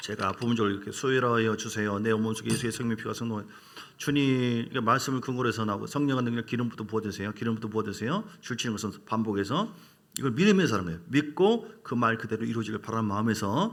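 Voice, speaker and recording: A man with a medium pitch talks at a very fast pace with ordinary pitch variation. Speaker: pastor. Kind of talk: sermon.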